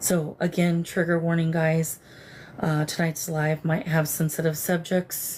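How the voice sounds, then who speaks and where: At a fairly slow pace, a woman talks in a fairly low pitch with monotone, flat intonation and very even loudness. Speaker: psychic medium livestream host. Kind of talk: live stream spirit communication. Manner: slurred, disoriented.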